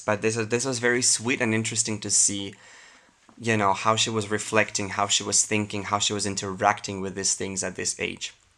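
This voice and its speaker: A man speaks in a non-native accent at a fairly low pitch. His intonation is monotone and flat. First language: not English. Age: 20s. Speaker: YouTuber. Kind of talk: reading aloud with commentary. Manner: casual, hesitant.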